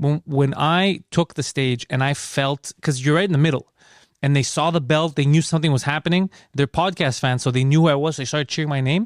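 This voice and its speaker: Speaking with a Greek accent, a man talks at a fairly quick pace and fairly high pitch, his intonation fairly even and his loudness very even. The recording is very clean, dry and close, with a silent background and no echo. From Greece. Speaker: comedian. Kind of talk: casual chat.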